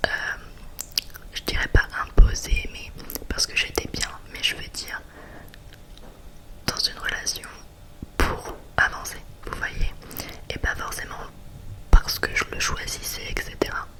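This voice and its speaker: A whispering woman at a fairly slow pace, with long, frequent pauses, big swings in loudness and noticeable background noise. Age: 20s. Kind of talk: ASMR chit-chat. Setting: close to the microphone. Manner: whispered.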